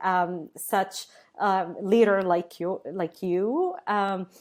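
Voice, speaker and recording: A woman speaks at a very slow pace with an Arabic accent, her pitch medium. The recording is very clean, with a silent background. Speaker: tech company co-founder. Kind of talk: podcast interview. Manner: halting, many fillers.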